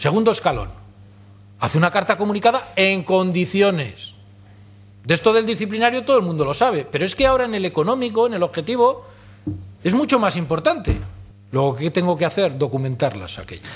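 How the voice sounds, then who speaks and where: A man at a fairly quick pace, his pitch making very wide swings. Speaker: speaker. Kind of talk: lecture. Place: hall. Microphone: podium.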